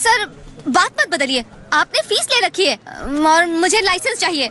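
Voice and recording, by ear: Extremely high pitch from a woman in a put-on character voice, with big pitch swings and a bright, sharp tone. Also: moderate pace.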